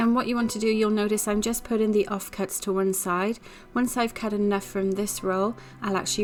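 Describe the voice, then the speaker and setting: Speaking with a Welsh accent, a woman holds a medium pitch and fairly even intonation. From Wales. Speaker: home baker. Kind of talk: cooking tutorial narration. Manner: casual, friendly.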